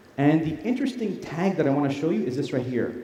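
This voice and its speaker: Amid noticeable background noise and audible room echo, a man speaks at a fairly high pitch with very wide pitch swings. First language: Arabic. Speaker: tech company product presenter. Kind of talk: live product demo presentation. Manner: casual, conversational; loud.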